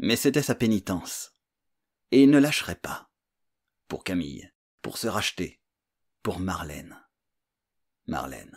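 Against a quiet background, a man with a calm tone speaks at a fairly slow pace with long, frequent pauses, his fairly low voice showing vocal fry, very wide pitch swings and big swings in loudness. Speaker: audiobook narrator and author. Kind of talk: literary audiobook reading, scripted thriller narration. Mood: suspenseful thriller narration. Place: home room. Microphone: studio mic.

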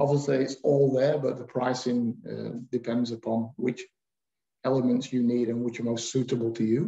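A man's somewhat breathy voice with a dark, mellow tone and monotone, flat intonation at a moderate pace, with audible room echo and a quiet background. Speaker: webinar moderator. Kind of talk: webinar moderating. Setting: video call. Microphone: webcam.

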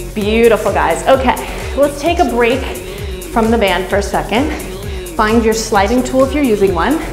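A woman talks at moderate speed. Clear music plays behind her. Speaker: fitness instructor. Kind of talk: workout instruction. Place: home room.

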